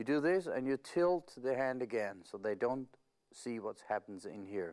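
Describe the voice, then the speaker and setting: Lively in intonation, a man at medium pitch speaks in a very clean recording with a silent background. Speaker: magician teaching a trick. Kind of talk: tutorial. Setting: studio video recording with multiple cameras. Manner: slow, deliberate with hesitations.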